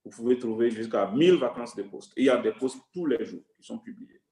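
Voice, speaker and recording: A man is speaking. Music plays in the background. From Togo. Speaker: UN staff member sharing career advice. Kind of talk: online workshop talk.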